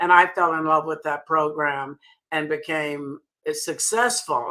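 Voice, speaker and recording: Bright and sharp in tone, a woman with a Southern US accent talks at a moderate pace in a fairly low pitch. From US South. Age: 80s+. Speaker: sales director. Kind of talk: interview.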